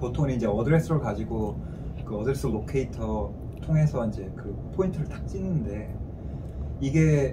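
There is noticeable noise in the background. Through it, a man talks at a medium speed. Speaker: analyst at a regional planning agency. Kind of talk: interview answer. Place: meeting room. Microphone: camera far.

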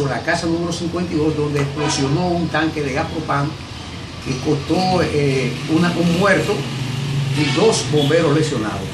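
Loud background noise under a man's moderately paced speech. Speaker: local reporter. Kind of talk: interviewer questions. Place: home room.

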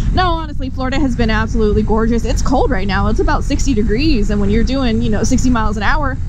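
A woman speaks at a very fast pace. The sound is dry with no echo, though background noise is noticeable. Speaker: motorcycle vlogger. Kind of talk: casual vlog chat. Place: motorbike. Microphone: helmet.

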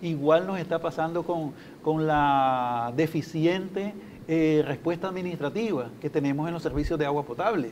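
Against light background noise, a man talks at a moderate pace in a fairly high pitch. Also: ordinary pitch variation. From Nicaragua. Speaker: consumer agency methodologist; guest. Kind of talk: TV interview. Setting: TV studio. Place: studio. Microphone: lapel.

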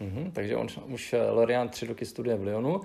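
A man speaks in a dark, mellow tone. Vocal fry runs through his voice. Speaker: interpreter. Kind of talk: interview interpreting. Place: office.

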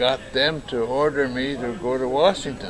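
A man talks at a very slow pace. Noticeable background noise can be heard. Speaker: storyteller recalling his life. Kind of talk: interview answer. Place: hall. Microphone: camera far.

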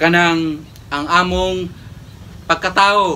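The speech moves at a very slow pace with fairly even intonation. Light background noise sits underneath. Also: man. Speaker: priest. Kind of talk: homily and Mass presiding, preaching in a solemn, pastoral tone; sermon. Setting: church. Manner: earnest, measured, formal preaching cadence. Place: church. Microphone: camera far.

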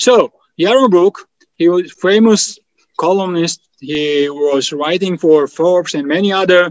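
A man with high pitch speaking at a very slow pace against a quiet background. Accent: Georgian. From Georgia. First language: Georgian. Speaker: think tank president; host introducing the speaker. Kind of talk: event moderation and Q&A. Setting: video call. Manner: halting. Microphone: video call.

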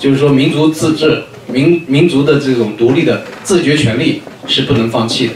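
Amid light background noise and audible room echo, a man speaks with lively intonation at a fairly high pitch. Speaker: conference moderator. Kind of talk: conference commentary. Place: meeting room.

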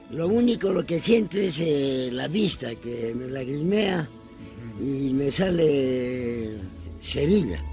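At a very slow pace, a man talks in a fairly high pitch with very wide pitch swings, the sound dry with no echo and clear music in the background. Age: 80s+. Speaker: retired mine work supervisor. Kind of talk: interview answer. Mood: pleading, emotional. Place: garden.

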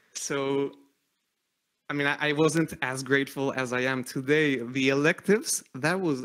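A man's fairly high pitch, bright, sharp tone and fairly even intonation against a quiet background. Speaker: physician and artist; speaker. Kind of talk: public talk. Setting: stage with audience. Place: home room. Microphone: studio mic.

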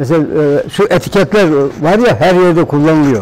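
This is a man's voice. His intonation is lively. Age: 80s+. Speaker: plastic goods workshop owner. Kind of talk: documentary interview answer. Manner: casual, conversational. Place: workshop. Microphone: lapel.

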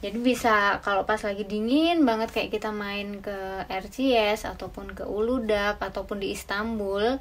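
A woman with fairly even intonation. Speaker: travel vlogger. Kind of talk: tutorial. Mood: cheerful, friendly. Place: home room. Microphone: camera far.

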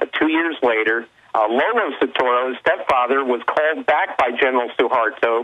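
Speaking with ordinary pitch variation, a man is heard against a quiet background. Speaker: investigative journalist guest. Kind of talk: interview answer. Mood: earnest, investigative. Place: studio.

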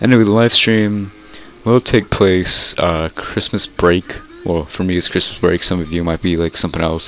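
Over music in the background, a man with a very deep, low pitch talks at a moderate pace with fairly even intonation. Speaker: gaming YouTuber. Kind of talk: casual gaming video commentary. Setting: screen-recorded gameplay with mic. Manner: rambling, halting, informal.

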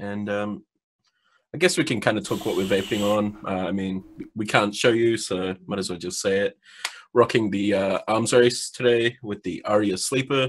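Fairly low in pitch with ordinary pitch variation, a man speaks in a New Zealand accent. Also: moderate pace. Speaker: vaping podcast co-host. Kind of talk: casual chat.

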